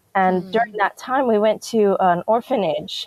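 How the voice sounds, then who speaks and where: In a dry, close sound with no echo, a woman with an American accent uses an ordinary speaking voice at a moderate pace with fairly even intonation. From DR Congo and US. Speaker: missionary and author. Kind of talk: interview testimony.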